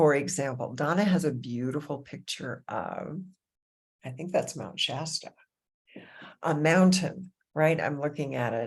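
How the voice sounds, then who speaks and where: Very deep, low voice of a woman, a warm, animated tone, fairly slow pace with long, frequent pauses, on a very clean recording with a silent background. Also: ordinary pitch variation. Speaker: meditation teacher. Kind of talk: guided meditation intro talk. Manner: soft-spoken when getting into heart topics.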